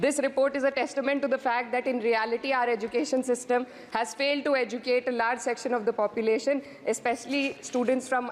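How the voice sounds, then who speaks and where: A woman's high-pitched, very fast voice with fairly even intonation, over noticeable background noise. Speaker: member of parliament. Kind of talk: parliamentary speech. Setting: parliament chamber. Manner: formal.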